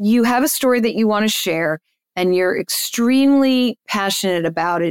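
A woman speaks at a moderate pace with an American accent in an unremarkable speaking voice. The sound is dry and close with no echo, on a very clean recording with a silent background. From New Jersey. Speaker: agency owner and speaker. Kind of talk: interview conversation.

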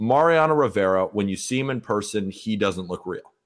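With an American accent, a man uses a normal speaking voice, lively intonation and a moderate pace on a very clean recording with a silent background. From California, Santa Barbara. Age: 20s. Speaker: baseball writer and podcaster. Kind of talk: casual interview.

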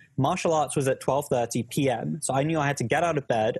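Somewhat breathy and fairly high-pitched, a man with a British accent speaks at a fairly quick pace. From UK. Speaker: academic coaching YouTuber, startup worker. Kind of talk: casual chat, live Q&A. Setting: live stream video call.

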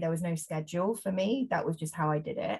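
A woman with an English accent, a very deep, low pitch and a somewhat breathy voice. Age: 30s. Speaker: journalist and body image campaigner. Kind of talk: interview conversation.

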